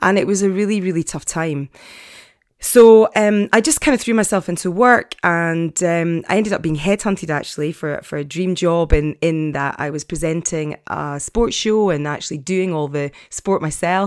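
With an Edinburgh accent, a woman at a fairly low pitch talks at a moderate pace with ordinary pitch variation in a very clean recording with a silent background. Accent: Scottish (Edinburgh). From Scotland, Edinburgh. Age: 50s. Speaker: podcast host, life coach. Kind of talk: casual monologue. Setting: home study.

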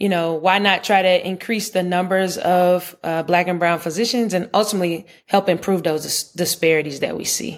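A woman with an American accent, a plain, everyday voice, fairly low pitch, fairly even intonation, a moderate pace and hardly any pauses. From US South, Charlotte, North Carolina. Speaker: pediatrician and researcher. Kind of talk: interview conversation.

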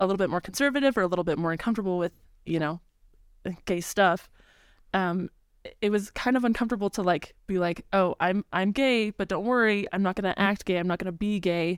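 A woman talks at a fairly quick pace in a normal speaking voice of medium pitch and ordinary pitch variation, the sound dry and close with no echo on a very clean recording with a silent background. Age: 20s. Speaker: music education student. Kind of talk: casual chat.

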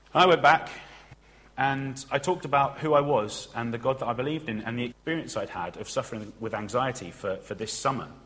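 The speaker has a plain, everyday voice, moving at a fairly quick pace with ordinary pitch variation. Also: man, medium pitch for a man. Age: 20s. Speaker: trainee preacher. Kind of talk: sermon.

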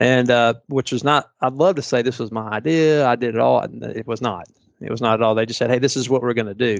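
At a very fast pace, the speaker uses fairly even intonation in a Southern US accent. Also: man, medium pitch for a man. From Tennessee (Chattanooga). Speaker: private school president. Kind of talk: interview.

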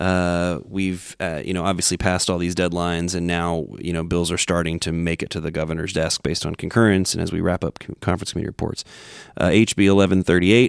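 Talking at a very fast pace, a man with a very deep, low pitch comes through a very clean, dry, close recording with a silent background and no echo. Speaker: podcast host. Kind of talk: casual interview chat.

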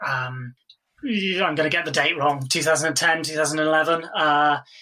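A man's fairly high voice in a flat monotone. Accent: British. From England. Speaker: film editor, Cambridge graduate. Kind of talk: casual interview. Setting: remote call during lockdown. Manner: hesitant, filler-heavy, laughs.

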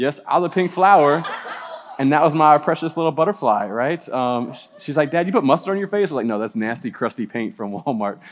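A man with an American accent, a very fast pace and lively intonation. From US South (New Orleans). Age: 40s. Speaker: campus minister. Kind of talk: sermon. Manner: casual.

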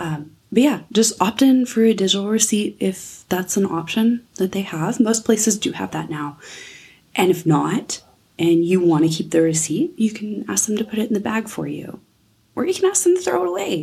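A woman speaks with a dark, mellow tone that is somewhat breathy. Her intonation is lively and her pace moderate. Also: medium pitch for a woman. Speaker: nutrition coach podcast host. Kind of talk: solo podcast monologue. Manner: casual, chatty.

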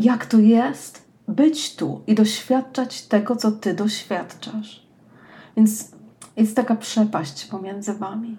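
Speaking very slowly, a woman has a dark, mellow, warm tone and a somewhat breathy quality. Her pitch is fairly high with ordinary pitch variation. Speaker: personal development coach, podcast host. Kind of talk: scripted monologue, read aloud. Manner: warm, intimate direct address.

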